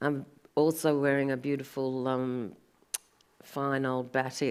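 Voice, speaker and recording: Very deep and low in pitch, a woman with an Australian accent speaks at a very slow pace with monotone, flat intonation. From Sydney, Australia. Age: 60s. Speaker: artist. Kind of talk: panel conversation. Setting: gallery event with live audience.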